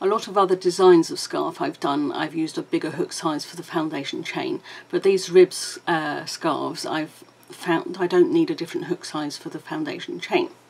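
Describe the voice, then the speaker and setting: Noticeable background noise surrounds a woman with a British accent. She speaks at a moderate pace with big swings in loudness. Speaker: crochet teacher. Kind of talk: tutorial. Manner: casual, with fillers.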